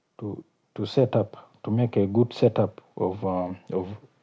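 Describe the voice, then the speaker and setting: Speaking with a South Sudanese accent, a man at fairly low pitch keeps a fairly slow pace. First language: Kakwa. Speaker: YouTuber. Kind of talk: casual vlog talk. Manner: halting, many fillers.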